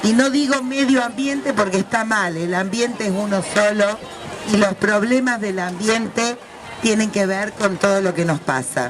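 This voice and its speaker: At a fairly slow pace, a woman with a fairly high pitch and ordinary pitch variation speaks over noticeable background noise. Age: 60s. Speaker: left-wing activist speaking on the environment. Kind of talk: talk at a women's event.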